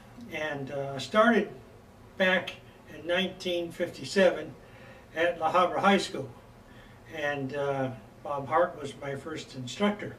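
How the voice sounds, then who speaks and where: Speaking with an American accent, a man with a fairly high voice and ordinary pitch variation takes long, frequent pauses, with audible room echo and noticeable background noise. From California, US. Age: 70s. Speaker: bagpipe instructor. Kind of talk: lecture. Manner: halting, many fillers.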